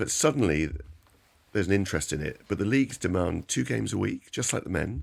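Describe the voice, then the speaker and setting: Over a very clean recording with a silent background, a man talks at a fairly quick pace in a very deep, low pitch, with very wide pitch swings and vocal fry. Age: 60s. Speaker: knee surgeon. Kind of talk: expert interview. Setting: radio studio.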